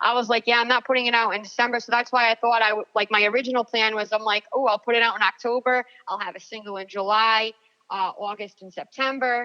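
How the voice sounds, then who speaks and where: A woman with an American accent talks at a very fast pace in a bright, sharp tone, her fairly high pitch held in monotone, flat intonation despite big swings in loudness, all in a dry, close sound with no echo. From US Northeast, Rhode Island. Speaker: country singer-songwriter. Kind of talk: casual interview chat.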